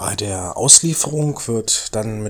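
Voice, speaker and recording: A man talks at a fairly low pitch in a normal speaking voice. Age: 30s. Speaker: orthopedic shoemaker. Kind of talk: interview.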